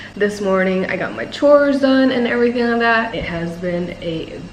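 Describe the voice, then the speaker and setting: A woman speaks in a fairly high pitch, with audible room echo and noticeable background noise. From Thailand and United States. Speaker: vlogger and personal trainer. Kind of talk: casual chat.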